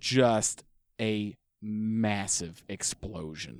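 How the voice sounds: The setting is quiet. The voice is a natural reading voice.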